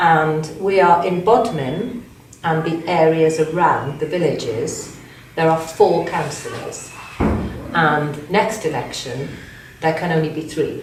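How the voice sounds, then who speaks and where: Speaking at a very slow pace, a woman uses a fairly low pitch with ordinary variation, with audible room echo and noticeable background noise. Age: 60s. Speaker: county councillor. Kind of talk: interview. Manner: halting.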